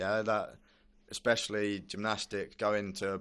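A man with a British accent speaks at a fairly low pitch against a quiet background. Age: 20s. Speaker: Olympic gymnast. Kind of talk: casual interview.

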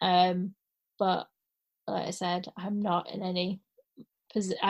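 A woman's somewhat breathy voice at medium pitch, flat and monotone in intonation. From Scotland, then Carlisle. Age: 30s. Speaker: actor and supply teacher. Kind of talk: casual chat.

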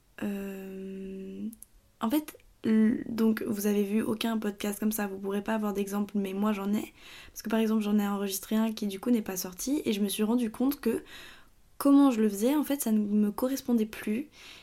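A woman with a fairly high pitch and a dark, mellow tone speaks at a moderate pace with ordinary pitch variation, in a very clean recording with a silent background. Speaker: podcaster. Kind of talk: casual monologue. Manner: halting, stuttering.

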